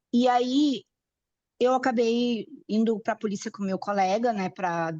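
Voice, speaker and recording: Recorded with a dry, close sound and no echo, a woman's fairly high voice has a dark, mellow tone and ordinary pitch variation. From Brazil. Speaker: class participant. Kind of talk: personal testimony in online class. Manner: halting.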